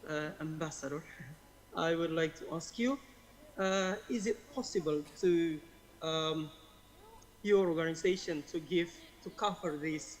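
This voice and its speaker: Talking at a very slow pace, a man with a high pitch speaks with an Indonesian accent. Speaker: conference participant asking a question. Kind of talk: audience question. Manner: halting, many fillers.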